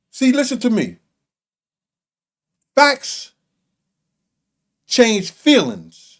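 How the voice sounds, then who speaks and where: A man's extremely high pitch at a very slow pace, on a very clean recording with a silent background. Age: 60s. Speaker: small podcast host and former prisoner. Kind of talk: casual chat.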